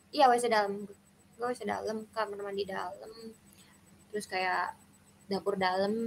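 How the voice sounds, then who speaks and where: Her pitch medium, a woman talks at a moderate pace with fairly even intonation and long, frequent pauses. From Indonesia, Bogor (West Java). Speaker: university student, stranger in video chat. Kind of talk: casual chat.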